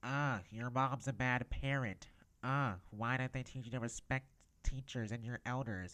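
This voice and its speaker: Using a put-on character voice, a man talks at a moderate pace with a medium pitch and fairly even intonation. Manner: scolding, harsh, judgmental.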